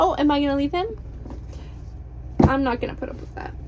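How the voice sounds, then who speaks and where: A woman talks at a fairly quick pace in a bubbly tone. Noticeable background noise runs behind her. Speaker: book vlogger. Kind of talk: casual vlog chat. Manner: animated.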